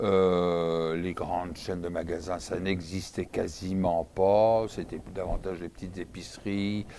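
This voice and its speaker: With a Parisian accent, a man speaks at a very slow pace in a very deep, low pitch, his tone dark and mellow, his intonation monotone and flat, with hardly any pauses. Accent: French (France), Parisian. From France, Paris. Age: 60s. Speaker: interview guest. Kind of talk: interview. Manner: hesitant, many fillers.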